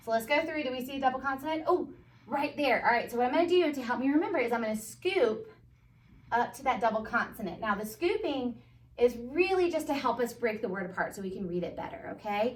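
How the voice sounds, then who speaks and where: Noticeable background noise sits under a very fast voice with an American accent and lively intonation. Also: woman, high pitch for a woman. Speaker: first grade teacher. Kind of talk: tutorial.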